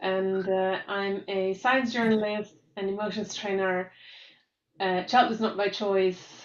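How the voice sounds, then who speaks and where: A woman with a German accent speaks very slowly in a medium-pitched, monotone voice with flat intonation. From Germany, Munich. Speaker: science journalist. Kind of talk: webinar panel talk.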